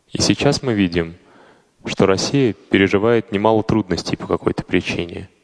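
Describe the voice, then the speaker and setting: The man's voice is fairly low in pitch, with ordinary pitch variation at a fairly slow pace. The sound is dry and close with no echo. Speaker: fellow podcaster voicing a translation. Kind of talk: reading aloud.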